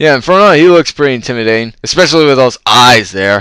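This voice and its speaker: A bright, sharp tone carries lively intonation in a dry, close sound with no echo. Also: man. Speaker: retro game collector and reviewer. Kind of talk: unscripted card review talk.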